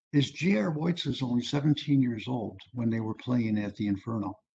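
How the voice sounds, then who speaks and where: A man with an American accent speaks at a moderate pace. His voice is medium-pitched and somewhat breathy. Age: 70s. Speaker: music historian and author. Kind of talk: lecture. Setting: video call. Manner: casual, conversational.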